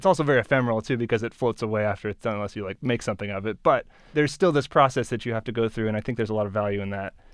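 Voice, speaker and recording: Against a quiet background, someone with an American accent speaks very fast with hardly any pauses and ordinary pitch variation. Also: man, medium pitch for a man. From Oregon, US (Beaverton, Portland area). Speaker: orchestra violinist, software engineer. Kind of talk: interview conversation. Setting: studio.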